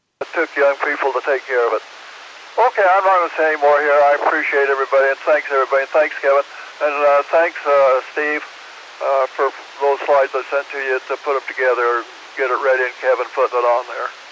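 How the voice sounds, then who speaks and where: Over noticeable background noise, a man with an American accent talks very fast at a fairly high pitch, his intonation fairly even. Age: 80s+. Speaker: former civil defense director, ham radio operator. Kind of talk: radio net conversation.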